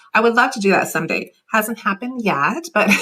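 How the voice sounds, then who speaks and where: A woman with a Canadian accent speaks in a fairly high voice with a bright, sharp tone. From Canada, Finnish-Canadian. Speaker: author and interviewer. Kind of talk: casual interview chat. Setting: live video call.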